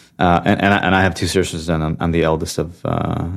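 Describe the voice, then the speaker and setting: A man with a Californian accent, very deep and low in pitch, at a fairly quick pace on a very clean recording with a silent background. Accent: Californian American. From US West Coast, Santa Clara, California. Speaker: venture capital investor. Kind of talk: interview. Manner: halting with frequent fillers.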